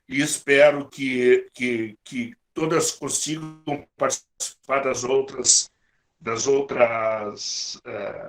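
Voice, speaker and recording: This voice belongs to a man. His pitch sits fairly high. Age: 60s. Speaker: workshop coordinator. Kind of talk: closing remarks to workshop group. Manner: halting, with frequent repetitions.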